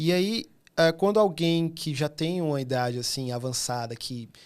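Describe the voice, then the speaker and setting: On a very clean recording with a silent background, a man with a northeastern Brazilian accent talks at a fairly slow pace. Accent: northeastern Brazilian (Fortaleza). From Fortaleza, Ceará, northeastern Brazil. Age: 30s. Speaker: illustrator. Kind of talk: podcast interview. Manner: animated.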